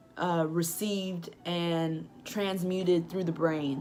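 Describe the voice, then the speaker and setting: A woman with a fairly low voice speaks with audible room echo. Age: 20s. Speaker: book reviewer vlogger. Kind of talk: casual vlog book review.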